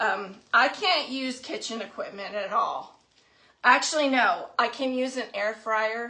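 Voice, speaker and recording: Bright and sharp in tone, a woman's high voice moves at a fairly slow pace with ordinary pitch variation. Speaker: craft livestream host. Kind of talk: live craft tutorial. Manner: casual chatty.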